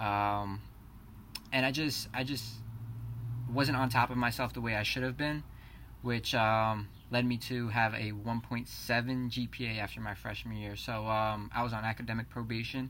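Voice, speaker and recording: A man with a New Jersey accent speaks at a moderate pace and medium pitch, his tone bright and sharp and his intonation monotone and flat. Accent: New Jersey American. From New Jersey, Keyport. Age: 20s. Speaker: college student. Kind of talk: class introduction presentation.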